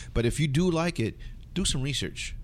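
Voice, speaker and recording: Vocal fry runs through this man's American accent. He talks at a very fast pace with lively intonation. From Southern California, Filipino American. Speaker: hip-hop DJ. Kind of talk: interview.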